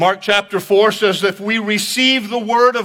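A man projects a raised, high-pitched voice with a bright, sharp tone. He goes at a fairly slow pace with ordinary pitch variation. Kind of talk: sermon. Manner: animated, building to a dramatic, rhetorical pitch; call-and-response, urging the congregation to repeat lines loudly.

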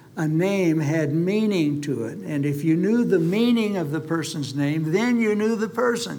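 In a room with audible echo, a man speaks at a fairly slow pace with a fairly high pitch. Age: old. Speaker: preacher. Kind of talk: sermon.

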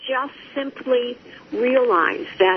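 A woman speaks very slowly at a high pitch while noticeable background noise plays. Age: 70s. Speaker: author and recovery workshop facilitator. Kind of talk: interview.

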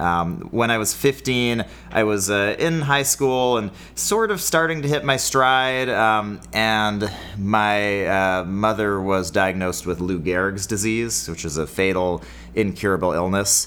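Very slowly, a man talks in a fairly low pitch with lively intonation. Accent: Californian. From California. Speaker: podcast co-host. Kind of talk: casual comedic chat.

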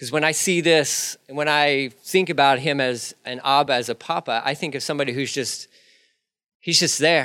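A man speaks in a fairly high pitch with a bright, sharp tone. His pace is moderate and his intonation fairly even. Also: very clean recording, silent background. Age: 40s. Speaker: pastor. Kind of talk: sermon. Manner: conversational with fillers and restarts.

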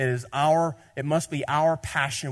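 A man with a Southern US accent talks at a fairly slow pace. His voice is somewhat breathy, with a quiet background. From Tennessee. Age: 30s. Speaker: pastor. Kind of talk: sermon. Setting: church.

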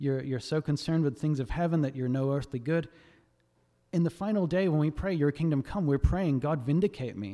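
This man has an Australian accent and a fairly high pitch with ordinary variation. His tone is dark and mellow, and his pace is fairly quick.

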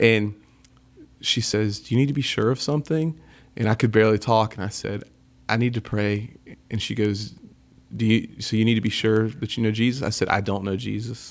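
A speaker with a Southern US accent talks at a fairly quick pace, broken by long, frequent pauses. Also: man, medium pitch for a man. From US South. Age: 30s. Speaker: rock band lead singer. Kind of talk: casual interview chat. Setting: studio. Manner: animated.

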